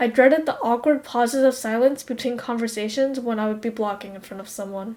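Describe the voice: At a fairly quick pace, a woman talks in a fairly high, dark and mellow voice with fairly even intonation.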